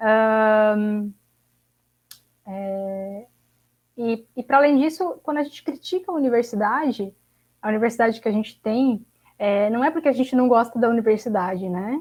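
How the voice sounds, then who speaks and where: Speaking at a moderate pace, a woman has a fairly high pitch and ordinary pitch variation. She leaves long, frequent pauses. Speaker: graduate student activist. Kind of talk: panel discussion closing remarks. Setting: online livestream.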